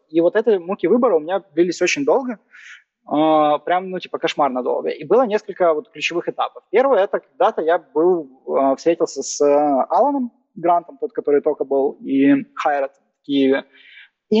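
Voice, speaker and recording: A man's high-pitched voice with lively intonation, a moderate pace, and long, frequent pauses. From Ukraine, Kyiv. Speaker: growth marketing manager. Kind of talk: casual interview.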